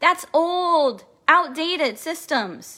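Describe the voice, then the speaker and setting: A woman with an American accent speaks in a raised, projected voice at an extremely high pitch. Her tone is animated, bright and sharp. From Kansas City, Missouri. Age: 40s. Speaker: spiritual coach. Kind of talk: recorded masterclass talk.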